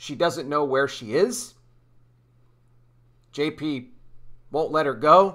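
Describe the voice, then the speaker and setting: Over a quiet background, a man speaks in a bright, sharp tone. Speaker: online commentator. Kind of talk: commentary. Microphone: webcam.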